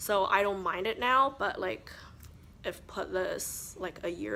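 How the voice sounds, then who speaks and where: The speaker is a woman. She has a non-native accent. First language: not English. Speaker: beauty vlogger. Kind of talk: casual chat. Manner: chatty.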